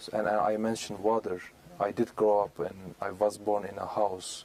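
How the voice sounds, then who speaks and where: The speaker talks at a moderate pace with a Turkish accent. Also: man. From Turkey, Istanbul. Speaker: community member, speaker. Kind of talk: interview. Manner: halting, many fillers.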